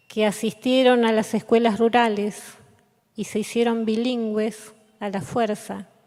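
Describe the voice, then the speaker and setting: This woman's voice sits at a fairly high pitch. She speaks at a fairly slow pace in a monotone, flat intonation. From Patagonia, Argentina (Comodoro Rivadavia). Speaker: poet. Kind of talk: reading aloud.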